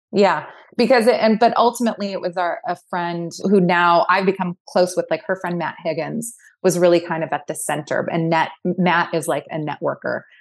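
Against a quiet background, a woman with a fairly low pitch talks at a moderate pace with ordinary pitch variation. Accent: Californian. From Southern California, Orange County. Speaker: skincare company CEO and co-founder. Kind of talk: interview.

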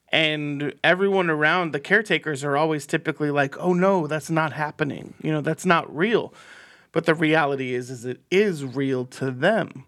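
A man talks in an ordinary speaking voice, fairly high in pitch with ordinary pitch variation. His pace is moderate on a very clean recording with a silent background. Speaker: podcast host. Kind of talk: casual banter. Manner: laughs often, jokey.

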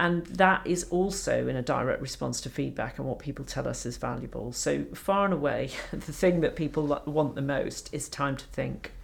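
A woman speaks at a moderate pace with a slight Scottish accent, hardly pausing at all. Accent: little trace of Scottish. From Scotland, Edinburgh. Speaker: doctor and medical education leader. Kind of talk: interview conversation.

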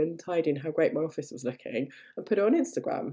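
A woman's dark, mellow voice in an English accent, very fast in pace with very wide pitch swings. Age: 40s. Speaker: language teacher trainer and podcast host. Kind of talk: solo podcast monologue. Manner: animated.

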